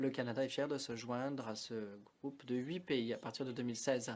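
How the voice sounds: At a moderate pace, a man talks with fairly even intonation, a medium pitch and a slightly mellow tone.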